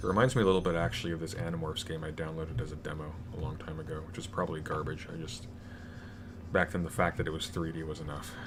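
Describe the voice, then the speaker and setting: A man's very deep, low voice at a very fast pace, with audible room echo. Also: ordinary pitch variation. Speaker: YouTuber streaming a video game. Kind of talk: casual live stream with Q&A. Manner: many fillers and hesitations.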